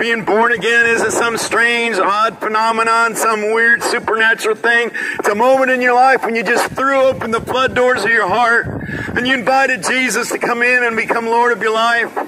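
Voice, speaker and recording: A man's raised, projected voice at an extremely high pitch, monotone and flat, at a moderate pace with hardly any pauses and very even loudness, over noticeable background noise. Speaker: street preacher. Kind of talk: street sermon delivered outdoors to passersby. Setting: outdoors in a city plaza. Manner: fervent, exhortatory. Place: street.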